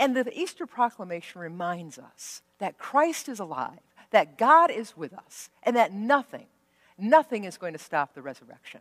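Here we hear a woman talking. Little sound surrounds her voice. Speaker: pastor. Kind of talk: worship welcome address. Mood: warm, joyful. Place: church. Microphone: headset.

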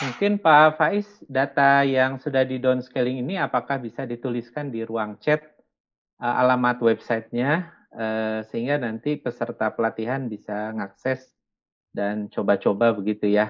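A man's speech comes at a moderate pace, with ordinary pitch variation, in a quiet setting. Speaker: training organizer; webinar moderator. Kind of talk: closing remarks. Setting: video call. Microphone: video call.

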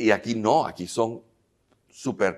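Vocal fry marks the fairly low voice of this man. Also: quiet background. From Venezuela (Caracas). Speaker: filmmaker and actor; actor. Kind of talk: interview. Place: hall. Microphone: lapel.

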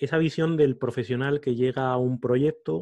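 A man's voice against a quiet background. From Spain, Salamanca. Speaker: podcaster and coach. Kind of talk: interview conversation. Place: home room. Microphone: studio mic.

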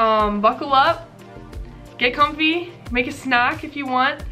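Clear music plays in the background as a woman with an American accent speaks with ordinary pitch variation. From Mississippi, USA. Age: 20s. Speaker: beauty vlogger. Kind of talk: casual talk to camera. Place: home room.

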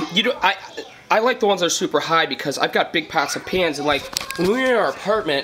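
A man speaks with a high-pitched voice. Crowd noise carries in the background. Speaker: home cook vlogger. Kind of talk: casual vlog chat. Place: kitchen. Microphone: phone near.

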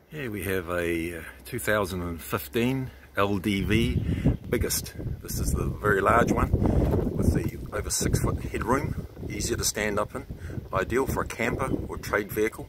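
Loud background noise runs under a man speaking at a fairly slow pace. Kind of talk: sales walkaround commentary. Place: street. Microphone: phone near.

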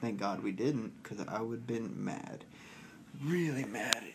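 Light background noise sits under a man whose pitch varies in an ordinary way. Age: 20s. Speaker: vlogger. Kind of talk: casual vlog monologue. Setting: cruise ship cabin. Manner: animated. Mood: boastful, playful. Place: home room. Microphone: phone near.

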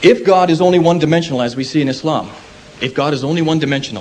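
Over light background noise, a man with an American accent talks at a very fast pace. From United States. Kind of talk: public debate. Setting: lecture hall with audience. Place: hall.

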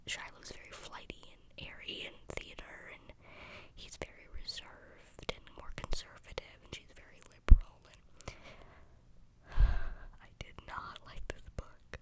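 A fairly slow, whispered delivery. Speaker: ASMR content creator / book reviewer. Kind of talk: casual book review ramble to camera. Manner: whispered, soft. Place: home room. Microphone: studio mic.

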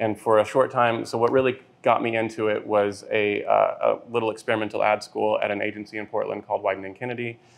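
Hardly pausing at all, a man talks at a fairly quick pace. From Texas, Lubbock. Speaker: brand designer. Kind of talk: casual interview. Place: bar.

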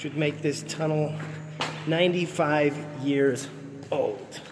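The speech moves at a very slow pace. Noticeable background noise sits underneath. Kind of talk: casual vlog chat. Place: tunnel cave. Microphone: phone near.

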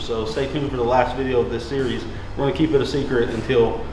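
The voice carries audible room echo over light background noise. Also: man. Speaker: garage build show host. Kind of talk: tutorial presentation to camera. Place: garage.

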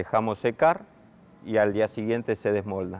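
This man has a normal speaking voice with a fairly low pitch. He talks at a moderate pace. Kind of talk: interview answer. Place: workshop.

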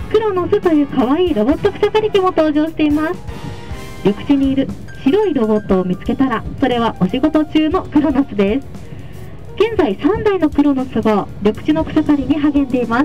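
Faint music sits in the background as a woman speaks at a high pitch. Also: moderate pace. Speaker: tour guide. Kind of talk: tour guide commentary. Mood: cheerful, polite. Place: bus.

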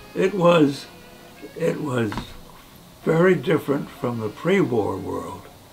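Faint music plays behind a man who speaks at a very slow pace, with long, frequent pauses and very wide pitch swings. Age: 80s+. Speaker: war veteran. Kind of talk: interview answer. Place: home room.

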